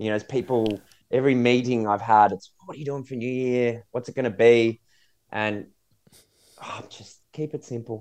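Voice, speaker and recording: A man with an Australian accent at medium pitch, moderate pace, fairly even intonation, big swings in loudness and long, frequent pauses. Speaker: podcast co-host. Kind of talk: casual chat.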